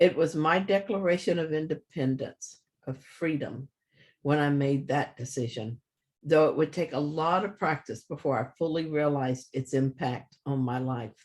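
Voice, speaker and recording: Somewhat breathy, a man talks at a moderate pace with fairly high pitch and ordinary pitch variation. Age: 70s. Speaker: minister. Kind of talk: personal reflection. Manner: calm.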